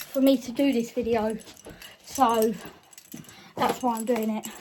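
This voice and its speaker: Over noticeable background noise, a woman speaks at a fairly slow pace in a monotone, flat intonation. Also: fairly high pitch for a woman. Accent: British. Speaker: car vlogger. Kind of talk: casual vlog.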